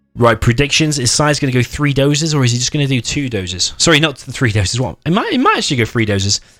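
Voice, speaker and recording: An animated man at a medium pitch talks very fast, with hardly any pauses and ordinary pitch variation. The recording is very clean and the background silent. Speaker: game tournament caster. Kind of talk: live commentary. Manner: loud.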